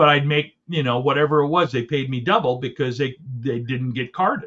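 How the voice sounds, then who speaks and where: Fairly quick speech from a man with fairly high pitch and ordinary pitch variation. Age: 40s. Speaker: comedy wrestling podcast co-host. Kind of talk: casual chat.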